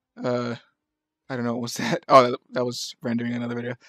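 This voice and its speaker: A mumbling man with a medium pitch, recorded dry and close with no echo. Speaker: gaming video editor. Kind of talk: casual gameplay commentary. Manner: mumbling, hesitant.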